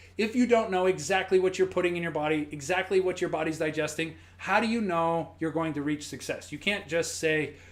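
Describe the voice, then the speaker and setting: A man speaks in a high pitch. He leaves hardly any pauses. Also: ordinary pitch variation, fairly quick pace. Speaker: fitness coach. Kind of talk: live-stream tutorial. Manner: halting; casual.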